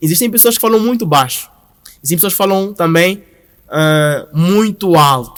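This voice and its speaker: Loud and high-pitched, a man speaks at a moderate pace with lively intonation. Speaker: brand founder and creative director. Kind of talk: podcast interview.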